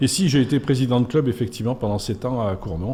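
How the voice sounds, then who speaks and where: A man talks at a fairly quick pace with a medium pitch and lively intonation. His voice is somewhat breathy, with a dark, mellow tone. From France, Auvergne (Puy-de-Dôme). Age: 60s. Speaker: sports official. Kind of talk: radio interview. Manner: hesitant, many fillers.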